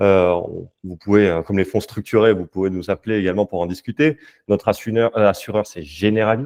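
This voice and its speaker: Fairly low male voice, fairly quick in delivery, with normal pitch movement. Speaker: investment company sales and development lead. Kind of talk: webinar presentation. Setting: online webinar. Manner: hesitant, many fillers.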